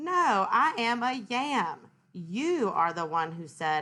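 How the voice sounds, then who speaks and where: Using a put-on character voice, a woman speaks very slowly at a fairly high pitch with very wide pitch swings. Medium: read story. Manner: fussy, schoolteacherish.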